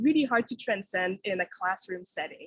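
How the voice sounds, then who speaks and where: This is a woman speaking. Her pitch variation is ordinary. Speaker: university researcher and professor. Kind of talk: webinar presentation. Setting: online webinar. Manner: fast.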